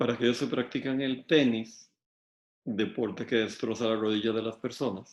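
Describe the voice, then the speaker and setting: A man speaking at a moderate pace. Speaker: law lecturer. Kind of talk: lecture.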